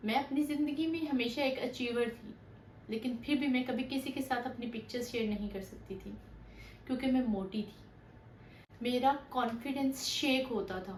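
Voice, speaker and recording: A woman's high-pitched voice with ordinary pitch variation and audible room echo. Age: 30s. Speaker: weight loss vlogger. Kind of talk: personal testimony.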